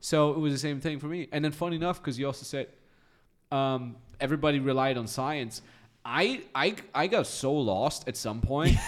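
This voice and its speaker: A man with a normal speaking voice talks at a moderate pace. His pitch is fairly high, with ordinary variation. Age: 30s. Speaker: podcast host and business coach. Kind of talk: casual chat.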